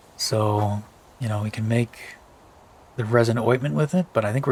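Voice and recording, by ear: A man speaks at a moderate pace with a fairly low pitch. His voice carries a slightly husky edge.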